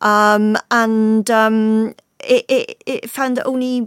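A woman's fairly high voice, monotone and flat, with a dry, close sound and no echo. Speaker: personal finance editor. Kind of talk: panel discussion.

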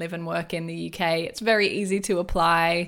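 A woman with an Australian accent speaks in a fairly low pitch and a monotone, flat intonation on a very clean recording with a silent background. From Australia, rural New South Wales. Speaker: wellness entrepreneur and business coach. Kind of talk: interview conversation.

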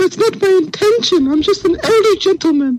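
An extremely high, put-on character voice. It moves at a fairly quick pace.

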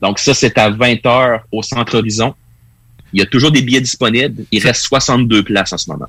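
A man in a Quebec accent talks at a moderate pace and medium pitch, with fairly even intonation. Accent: Québécois French. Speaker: wrestling pundit. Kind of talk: casual chat.

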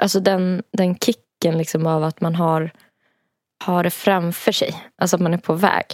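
In a dry, close sound with no echo, a woman with a fairly low pitch speaks at a moderate pace with monotone, flat intonation. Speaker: podcast co-host. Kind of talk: casual chat. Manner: giggly.

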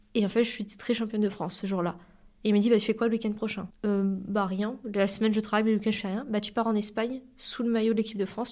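A woman talks very fast, her voice pitched fairly high. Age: 20s. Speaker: para-athlete. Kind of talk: interview.

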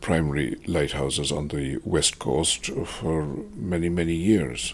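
A man with a Kerry accent, very deep and low in pitch, at a fairly slow pace with fairly even intonation, over noticeable background noise. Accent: Kerry Irish. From Ireland, Tralee, County Kerry. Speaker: retired tour operator. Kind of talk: interview. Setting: at home. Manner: halting, many hesitations.

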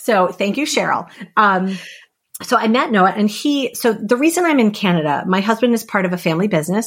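A woman's fairly quick, lively-toned speech. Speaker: guest. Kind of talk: casual interview chat. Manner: loud, fast talker, expressive.

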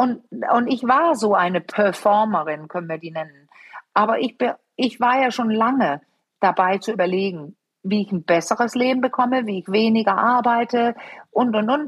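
A woman's plain, everyday voice, fairly high, with lively intonation at a moderate pace. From Denmark. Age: 50s. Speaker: sexologist and couples therapist. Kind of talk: interview.

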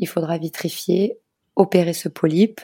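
A woman speaks at a fairly slow pace with a fairly low pitch and a dark, mellow tone, the sound dry and close with no echo. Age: 30s. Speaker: schoolteacher and bereaved mother. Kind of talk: personal testimony interview. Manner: hesitant with many fillers.

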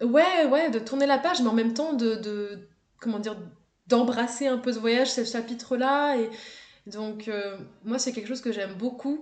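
Audible room echo surrounds a woman talking at a moderate pace in a fairly high pitch. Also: ordinary pitch variation. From France, Haute-Savoie. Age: 20s. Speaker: travel content creator. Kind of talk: casual interview chat. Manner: hesitant, many fillers and repetitions.

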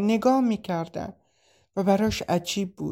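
A woman speaks with a dark, mellow tone at medium pitch and a fairly slow pace. The recording is very clean, with a silent background. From Iran, Shiraz region. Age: 20s. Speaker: refugee. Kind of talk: personal testimony.

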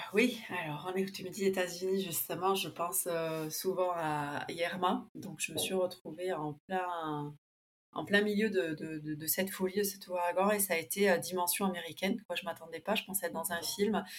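Her pitch sits at a medium level for a woman. She speaks at a moderate pace with fairly even intonation. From Argentina, Buenos Aires, raised partly in France. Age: 30s. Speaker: interviewee sharing a multicultural life story. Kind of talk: interview, life story.

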